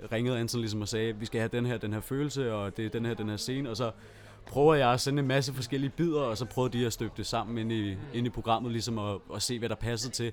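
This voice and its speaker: This man speaks at a very fast pace with fairly even intonation. His pitch sits in the medium range. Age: 20s. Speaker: composer and electronic musician. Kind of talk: casual chat. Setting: studio.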